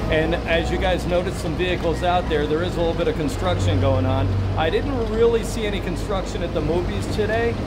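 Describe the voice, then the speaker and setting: The speech moves at a fairly quick pace. There is loud background noise. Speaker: travel vlogger. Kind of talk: casual vlog commentary. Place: bus. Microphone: phone near.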